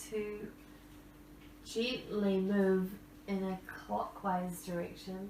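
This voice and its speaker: Audible room echo and noticeable background noise around a female speaker. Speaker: yoga instructor. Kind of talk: guided yoga class. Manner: calm, soothing.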